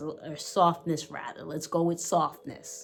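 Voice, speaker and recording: A woman talks in a New York accent with vocal fry. Her tone is animated. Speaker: fragrance reviewer. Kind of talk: product review.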